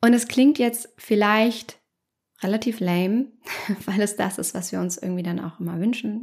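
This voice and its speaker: Somewhat breathy, a woman talks at a moderate pace with ordinary pitch variation. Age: 30s. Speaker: psychologist and podcast host. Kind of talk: solo podcast monologue.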